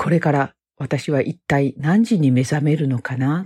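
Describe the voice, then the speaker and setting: At a fairly slow pace, a woman speaks. Her pitch is very deep and low. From Osaka, Japan. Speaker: homemaker, former nurse. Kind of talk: monologue self-introduction.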